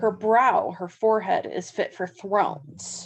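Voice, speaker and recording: A woman with a Southern California accent and a medium pitch speaks over a quiet background. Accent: flat Southern California. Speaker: university English instructor. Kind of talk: lecture on poetry. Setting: home, dog snoring in background.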